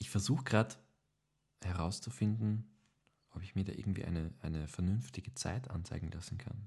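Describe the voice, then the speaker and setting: Dark, mellow and somewhat breathy, a man's fairly low voice moves at a fairly quick pace broken by long, frequent pauses. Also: ordinary pitch variation. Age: 20s. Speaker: podcast co-host, actor. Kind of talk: casual chat.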